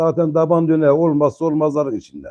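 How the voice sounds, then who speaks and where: This man's voice is fairly high in pitch with a dark, mellow tone, moving at a moderate pace. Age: 50s. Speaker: pigeon fancier. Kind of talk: casual chat.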